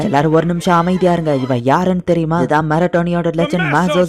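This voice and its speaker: A man with a high voice amid noticeable background noise. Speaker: anime recap narrator. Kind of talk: anime story recap narration. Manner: casual, conversational.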